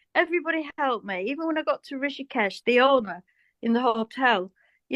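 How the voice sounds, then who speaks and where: A woman speaks in a British accent at a fairly quick pace. Her high-pitched voice sounds dry and close, without echo. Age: 60s. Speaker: cosmetic surgery patient. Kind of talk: casual interview chat.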